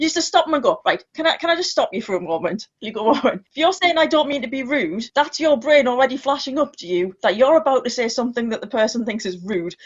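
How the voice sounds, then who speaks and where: A woman speaks with a British accent at a very fast pace, with hardly any pauses. Her voice is high-pitched and swings very widely in pitch. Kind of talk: casual chat. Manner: loud.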